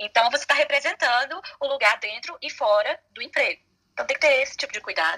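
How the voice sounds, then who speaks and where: A woman speaks at a fairly quick pace, and her voice sounds dry and close with no echo. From Brazil. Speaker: lawyer. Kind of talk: casual chat.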